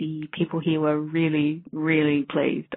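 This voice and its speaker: A woman with a very deep, low pitch talks in an Australian accent. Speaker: blues dance DJ, listener. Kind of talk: voicemail message. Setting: phone message.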